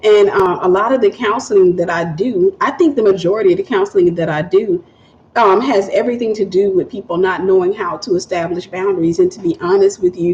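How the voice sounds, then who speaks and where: A woman with a Southern US accent and medium pitch talks at a fairly quick pace with ordinary pitch variation, with noticeable background noise behind her. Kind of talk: livestream chat with viewers.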